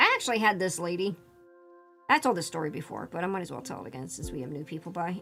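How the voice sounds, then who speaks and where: Over music in the background, a woman with an American accent speaks at a medium pitch with lively intonation. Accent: Northeast US, slightly British-sounding. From Northeast US.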